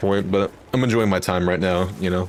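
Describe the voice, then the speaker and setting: Over noticeable background noise, a man talks at a fairly quick pace in a very deep, low pitch. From Texas, near Fort Worth. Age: 20s. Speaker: gaming streamer. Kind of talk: casual chat. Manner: animated.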